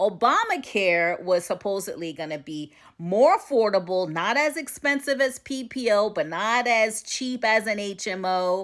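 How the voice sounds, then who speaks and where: A woman's animated voice in an American accent, fairly high in pitch, with lively intonation, a moderate pace and hardly any pauses. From United States. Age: 60s. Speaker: vlogger. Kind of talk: casual social media rant.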